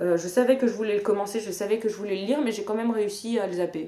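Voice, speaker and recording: With ordinary pitch variation, a woman speaks in a medium pitch. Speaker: book vlogger. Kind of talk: casual vlog monologue. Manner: hesitant with fillers.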